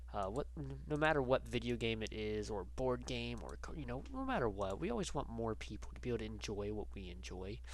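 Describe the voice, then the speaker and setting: A man's very deep, low voice at a fairly quick pace, with ordinary pitch variation, hardly any pauses and audible room echo. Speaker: gaming YouTuber. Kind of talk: casual vlog chat. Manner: halting, many fillers.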